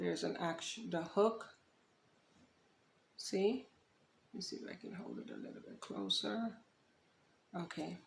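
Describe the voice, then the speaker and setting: Soft-spoken, a woman talks with big swings in loudness and long, frequent pauses. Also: moderate pace. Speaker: DIY upholstery creator. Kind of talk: tutorial.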